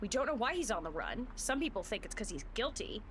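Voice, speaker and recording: A loud woman's voice. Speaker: video game streamer. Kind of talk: live gameplay stream commentary. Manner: animated.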